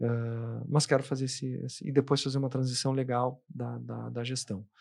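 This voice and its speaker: The speaker is a man. His voice is at a medium pitch. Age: 50s. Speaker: advertising executive and trade association president. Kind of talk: interview conversation. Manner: halting, many repetitions and false starts.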